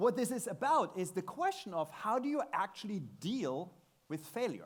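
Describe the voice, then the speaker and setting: With a German accent, a man talks using very wide pitch swings. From Germany. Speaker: tech speaker. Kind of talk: conference talk. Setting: stage with audience.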